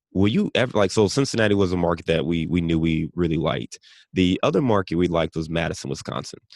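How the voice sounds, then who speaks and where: In an American accent, the voice races at a very fast pace with ordinary pitch variation, recorded dry and close with no echo against a quiet background. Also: man, very deep, low pitch for a man. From Cleveland, Ohio. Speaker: real estate investor. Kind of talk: interview.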